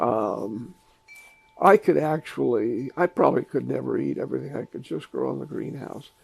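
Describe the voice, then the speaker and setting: Over noticeable background noise, a man speaks at a moderate pace while his loudness swings widely. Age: 70s. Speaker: home gardener. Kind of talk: casual interview. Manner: halting, with fillers.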